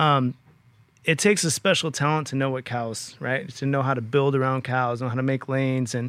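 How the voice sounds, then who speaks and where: In an American accent, a man talks at a moderate pace in an unremarkable speaking voice, medium in pitch with fairly even intonation. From California Central Valley, Merced. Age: 40s. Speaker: construction business owner. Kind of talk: casual chat.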